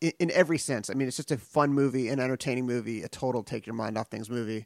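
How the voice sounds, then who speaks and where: A man with an American accent uses a normal speaking voice at medium pitch with ordinary pitch variation, the sound dry and close with no echo. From US West Coast, San Pedro, California. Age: 40s. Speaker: podcast host, film interviewer. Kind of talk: interview. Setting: remote call.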